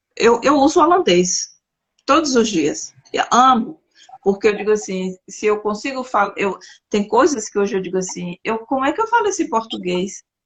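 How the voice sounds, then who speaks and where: The voice is somewhat breathy, with lively intonation. The pace is moderate. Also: woman. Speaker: interviewer, talk show host. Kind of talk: interview conversation. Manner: halting, searching for words.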